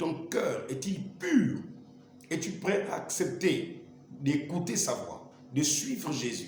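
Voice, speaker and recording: Over noticeable background noise and audible room echo, a man speaks very slowly in a high pitch. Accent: Gabonese. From Gabon. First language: Lumbu (speaking French). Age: 40s. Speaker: evangelist. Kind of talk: testimony.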